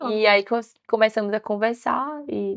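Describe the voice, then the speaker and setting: Here a woman speaks with a strong Recife accent and a fairly high pitch. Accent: strong northeastern Brazilian (Recife). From Brazil, Recife (Northeast). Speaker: image consultant. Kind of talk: podcast interview.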